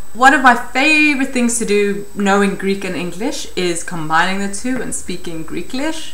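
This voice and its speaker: With noticeable background noise and audible room echo, a woman at medium pitch speaks at a moderate pace with lively intonation. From South Africa. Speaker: vlogger. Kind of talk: casual vlog talk.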